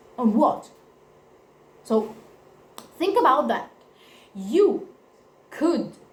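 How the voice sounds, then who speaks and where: The voice swings very widely in pitch and moves at a very slow pace. Long, frequent pauses break it up, and room echo is audible. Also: woman, high pitch for a woman. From Italy. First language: Italian. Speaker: vlogger. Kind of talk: personal testimony to camera. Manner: halting, self-correcting.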